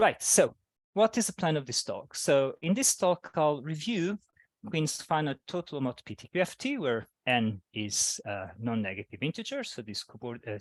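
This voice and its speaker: Dry and close with no echo against a quiet background, a man's voice moves through very wide pitch swings. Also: big swings in loudness. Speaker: mathematics researcher. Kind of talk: lecture.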